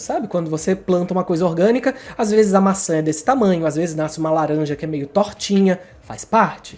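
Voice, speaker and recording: A man's high pitch with ordinary pitch variation. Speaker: writing YouTuber. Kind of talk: casual tutorial monologue. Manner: fast.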